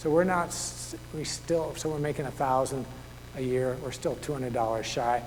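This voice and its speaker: A man speaks at medium pitch and a moderate pace, his intonation fairly even. There is audible room echo and noticeable background noise. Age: 60s. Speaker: author and naturalist. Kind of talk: public talk. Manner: conversational.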